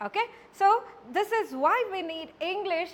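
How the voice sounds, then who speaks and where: A woman speaks with a Karnataka accent and a lively, bouncy intonation. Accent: Indian English (Kannada). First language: Kannada. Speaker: college English lecturer. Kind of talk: lecture.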